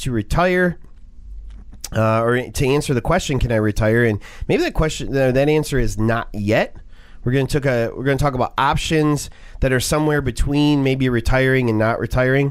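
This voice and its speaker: At a fairly quick pace, a man talks in an ordinary speaking voice with a fairly high pitch, ordinary pitch variation and very even loudness. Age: 40s. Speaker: radio finance show host. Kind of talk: radio talk show.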